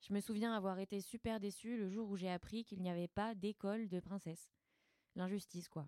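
The voice has a dark, mellow tone and fairly even intonation at a moderate pace, with a dry, close sound and no echo. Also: woman. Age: 20s. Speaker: podcast co-host and actress. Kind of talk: scripted narration.

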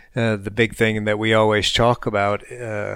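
A man with an American accent and a fairly low pitch speaks at a moderate pace in a monotone, flat intonation, recorded very cleanly against a silent background. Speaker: military veteran podcast co-host. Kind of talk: casual chat.

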